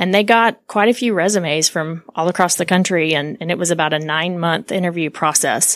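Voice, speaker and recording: A woman's fairly low-pitched, fairly quick delivery in a normal speaking voice. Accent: American. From Oklahoma, US. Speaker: construction association executive. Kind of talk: interview conversation.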